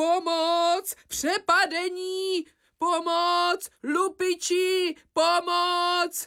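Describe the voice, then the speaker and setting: A female-sounding put-on character voice, pitched extremely high, delivered in a flat monotone. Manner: panicked, shouting for help.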